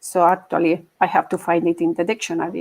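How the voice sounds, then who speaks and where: A woman speaks at a moderate pace. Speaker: agile coach. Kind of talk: conference talk.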